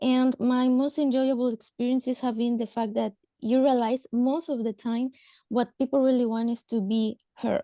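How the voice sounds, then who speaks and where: A woman with a Spanish accent and a high-pitched, dark, mellow tone, speaking at a moderate pace in monotone, flat intonation, with dry, close sound with no echo and a quiet background. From Mexico. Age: 30s. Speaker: government social welfare worker. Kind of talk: webinar talk. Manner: halting, hesitant.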